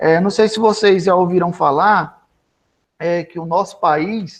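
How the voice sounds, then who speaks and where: This man speaks with a high pitch. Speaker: professor, agriculture course coordinator. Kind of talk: lecture.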